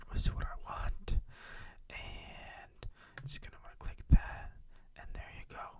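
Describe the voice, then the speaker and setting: Long, frequent pauses in a fairly slow whisper. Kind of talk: ASMR tech tutorial. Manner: whispered.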